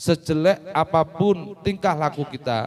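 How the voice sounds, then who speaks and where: A man talks with ordinary pitch variation. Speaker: Islamic religious teacher. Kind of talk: religious talk to children. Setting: Quran school gathering.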